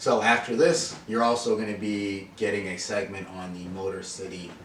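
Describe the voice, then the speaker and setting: A man speaks over noticeable background noise, with audible room echo. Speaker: podcast host. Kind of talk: casual chat. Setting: beauty trade show. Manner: stuttering at times.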